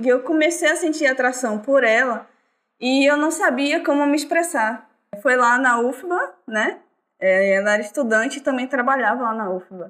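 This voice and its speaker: A woman's high-pitched voice with lively intonation at a moderate pace, on a very clean recording with a silent background. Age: 20s. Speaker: artist and musician. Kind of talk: casual chat. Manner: halting.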